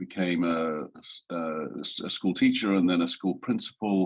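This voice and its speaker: A monotone, flat, very deep and low male voice in an English accent. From rural England. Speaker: design executive. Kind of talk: interview. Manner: halting, many fillers.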